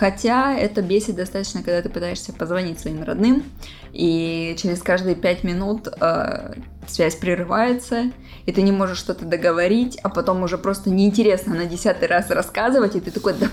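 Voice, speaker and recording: Over background music, a woman speaks at a moderate pace with a medium pitch and ordinary pitch variation. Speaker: host's girlfriend. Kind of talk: casual chat. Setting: bedroom at night, lights off. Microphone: laptop mic placed on a bed.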